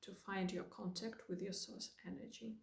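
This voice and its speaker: A woman with a Russian accent speaks at a medium pitch, somewhat breathy, with fairly even intonation. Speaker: spiritual guide. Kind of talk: spiritual talk to camera.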